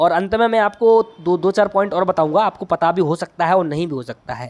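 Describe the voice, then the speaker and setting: This man has a high-pitched voice and a Bundelkhand accent. The sound is dry and close, with no echo. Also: ordinary pitch variation. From Bundelkhand, India. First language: Bundeli (speaking Hindi). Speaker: agriculture exam tutor. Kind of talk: tutorial. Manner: halting.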